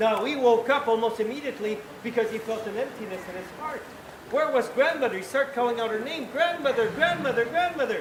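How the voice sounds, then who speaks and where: An extremely high-pitched man at a fairly quick pace, with ordinary pitch variation and noticeable background noise. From Quebec, Canada. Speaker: town crier. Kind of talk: storytelling to a live audience.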